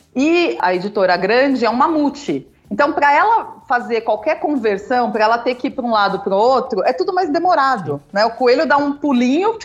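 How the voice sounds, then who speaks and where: Fairly quick speech with very wide pitch swings, very even loudness and hardly any pauses. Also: woman, high pitch for a woman. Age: 40s. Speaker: founder of a publishing-courses school. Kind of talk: casual chat.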